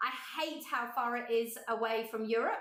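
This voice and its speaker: A woman speaks in a raised, projected voice with fairly even intonation. Audible room echo surrounds her. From Cornwall, England. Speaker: art teacher. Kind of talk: online workshop chat. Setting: livestream video from home studio.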